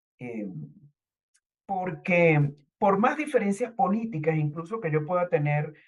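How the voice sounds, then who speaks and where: Somewhat breathy woman's voice at medium pitch, fairly slow, with lively intonation. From Venezuela, Caracas. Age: 60s. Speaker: writer and university professor, activist. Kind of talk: testimony. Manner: halting with fillers.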